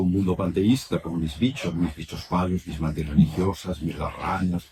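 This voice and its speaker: With noticeable background noise, a man talks at a fairly quick pace in a very deep, low pitch. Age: 70s. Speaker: writer and traveler. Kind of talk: public talk at a bookshop. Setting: bookshop event with audience. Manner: halting, many repetitions.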